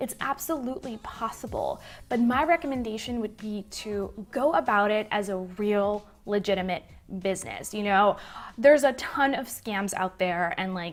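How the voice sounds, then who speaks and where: Over music in the background, a woman speaks at a medium pitch and a moderate pace. Her intonation is lively and her tone enthusiastic. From Puerto Rico. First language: Spanish. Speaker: digital marketing YouTuber. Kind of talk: Q&A vlog.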